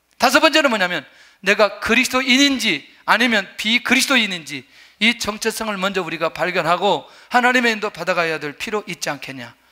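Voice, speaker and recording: A man speaks at a fairly quick pace in a raised, projected voice, his high pitch carrying lively intonation and a bright, sharp tone. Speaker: pastor. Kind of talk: sermon. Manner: fast.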